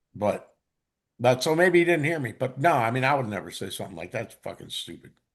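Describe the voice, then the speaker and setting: Vocal fry runs through a man's voice as he speaks at a fairly quick pace. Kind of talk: casual chat. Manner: loud.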